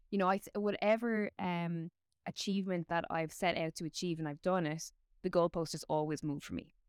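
A woman with an Irish accent, fairly low in pitch, at a fairly quick pace with fairly even intonation, in a dry, close sound with no echo. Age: 30s. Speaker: combat sports presenter. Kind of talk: casual chat.

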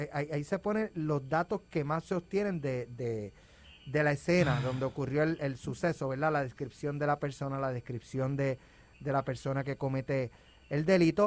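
A man with a Puerto Rican accent, fairly high in pitch, at a moderate pace and with ordinary pitch variation. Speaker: news director. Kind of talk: news report.

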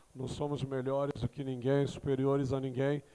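A man's fairly high-pitched voice. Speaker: gospel rapper and pastor. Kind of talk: interview chat. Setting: studio.

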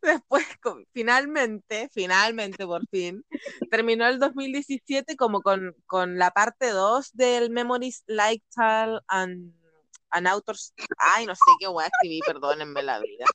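A woman speaks very slowly in a fairly high pitch, her tone bright and sharp. Her intonation is lively, and the sound is dry and close with no echo. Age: 30s. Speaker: podcast host. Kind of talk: casual chat. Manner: laughs often, overlapping talk.

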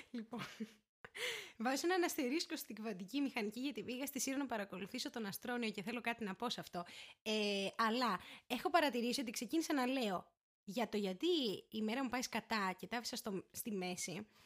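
A woman is speaking at a fairly high pitch. She moves at a fairly quick pace. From Greece, Syros. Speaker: law student. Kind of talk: casual chat. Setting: home recording.

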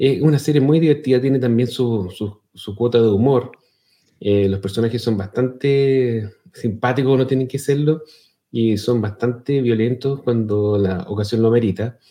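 With a Chilean accent, a man speaks at a medium pitch and moderate pace, his dark, mellow tone holding very even loudness and ordinary pitch variation. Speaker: podcast co-host. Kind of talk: casual chat.

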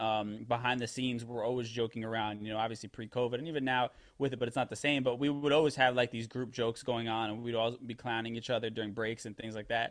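This is an unremarkable speaking voice, a man with an American accent at a medium pitch. He moves at a fairly quick pace with fairly even intonation. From New York, the Bronx. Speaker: radio producer and DJ. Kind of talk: interview.

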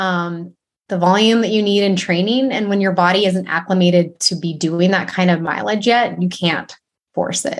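At a moderate pace, a woman talks in an unremarkable speaking voice at a medium pitch with ordinary pitch variation. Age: 40s. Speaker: running coach. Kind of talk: casual chat.

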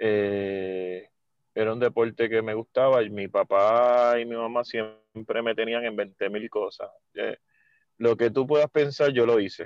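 A man speaks in a normal speaking voice at medium pitch, with fairly even intonation and a fairly slow pace. The sound is dry and close with no echo, over a quiet background. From Puerto Rico, Mayagüez. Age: 40s. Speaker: water polo coach. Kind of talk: casual interview.

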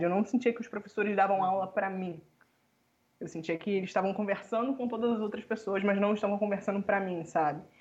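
Pitch varies in an ordinary way across an unremarkable speaking voice. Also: woman. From Rio de Janeiro, Brazil. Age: 20s. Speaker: economics student. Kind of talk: casual interview.

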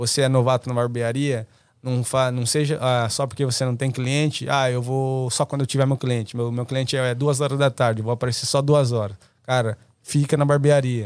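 At a moderate pace, a man speaks in a flat monotone at medium pitch, recorded very cleanly with a silent background. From Brazil, interior of São Paulo state. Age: 20s. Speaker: barber. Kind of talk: casual chat.

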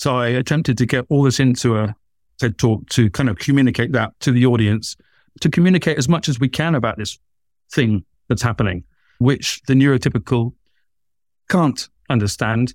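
A man with a southern British accent speaks at a moderate pace, medium pitch, and ordinary pitch variation. He leaves long, frequent pauses, and the sound is dry and close with no echo. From southern England. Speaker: author, artist and lecturer. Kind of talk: casual interview chat. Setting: video call, remote from host. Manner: stammers at times.

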